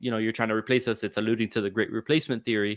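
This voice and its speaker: This man's voice sits at a medium pitch, captured in a very clean recording with a silent background. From South Florida. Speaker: podcast host. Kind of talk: casual chat. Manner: animated, halting with fillers.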